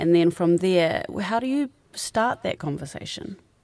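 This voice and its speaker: A woman with a New Zealand accent. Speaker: podcast host and producer. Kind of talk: live radio advice show. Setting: studio.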